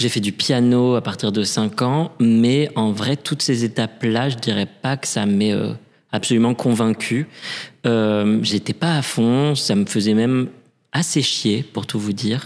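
A man speaks very slowly at a medium pitch. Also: ordinary pitch variation, very clean recording, silent background. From Paris, France. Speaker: opera singer and drag queen. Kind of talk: interview. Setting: reverberant room in a theatre.

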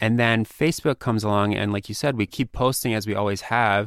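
A man with an ordinary speaking voice talks at a fairly low pitch and a fairly quick pace, with ordinary pitch variation. The recording is very clean, with a silent background. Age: 30s. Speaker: magazine editor. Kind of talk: interview. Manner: casual, filler-heavy.

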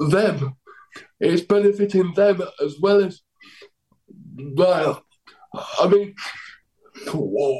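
With a South Yorkshire accent, a man speaks very slowly in a high voice with a dark, mellow tone and ordinary pitch variation, leaving long, frequent pauses. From Doncaster, England. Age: 30s. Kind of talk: casual interview chat. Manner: halting, repetitive phrasing.

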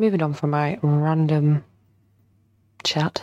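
A woman with a dark, mellow tone speaks slowly at a low pitch, her intonation fairly even.

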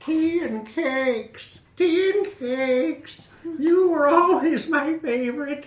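A put-on, female-sounding character voice, high-pitched, at a very slow pace with hardly any pauses. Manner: warm, cosy.

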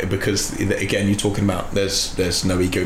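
Over noticeable background noise, a man talks in a fairly low pitch. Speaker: podcast host. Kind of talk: casual chat.

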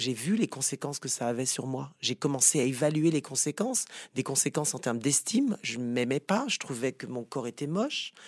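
An ordinary speaking voice from a man, fairly high in pitch and fairly quick, with ordinary pitch variation, on a very clean recording with a silent background and a dry, close sound with no echo. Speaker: psychotherapist. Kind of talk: interview.

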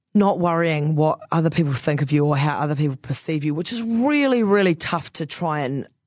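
The speaker has a New Zealand accent. The pace is moderate and the pitch variation ordinary. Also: woman. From New Zealand, Christchurch. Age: 30s. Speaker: radio host. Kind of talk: casual chat.

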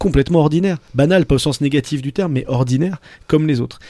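A man talks at a very fast pace with lively intonation and a dark, mellow tone. The sound is dry and close, with no echo. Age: 40s. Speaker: radio host. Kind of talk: casual chat.

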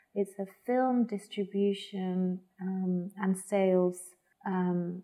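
A woman speaks very slowly with a Spanish accent. Her medium-pitched voice has a dark, mellow tone and monotone, flat intonation. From Spain, Madrid. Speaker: arts organisation programme head. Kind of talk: interview. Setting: at home. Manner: hesitant, many fillers.

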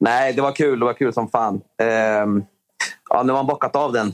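A man talks at a medium pitch and moderate pace, his intonation fairly even. The sound is dry and close, with no echo. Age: 30s. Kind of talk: interview.

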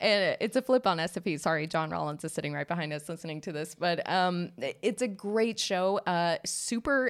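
On a very clean recording with a silent background, a woman speaks with an American accent. Her pitch is fairly low, and her pace is moderate. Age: 30s. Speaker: podcast host. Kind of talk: casual chat. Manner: animated.

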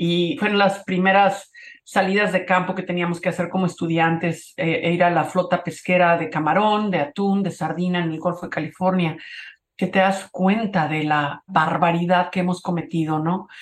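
This woman has an ordinary speaking voice, fairly low in pitch. She talks at a moderate pace with fairly even intonation. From Mexico, Cuernavaca. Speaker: photographer and conservationist. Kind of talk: interview.

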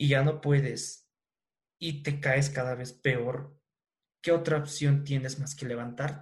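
Somewhat breathy, a man speaks at a fairly slow pace with fairly even intonation amid audible room echo. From Bolivia. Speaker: podcast host. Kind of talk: podcast monologue and interview.

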